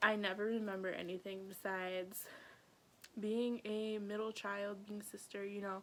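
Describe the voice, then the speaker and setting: A woman talks quietly at a medium pitch. Her intonation is flat and monotone. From North Dakota, Grand Forks. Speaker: YouTuber. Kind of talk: personal storytelling vlog. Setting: at home with family nearby. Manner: casual, lots of filler words; trying to speak quieter.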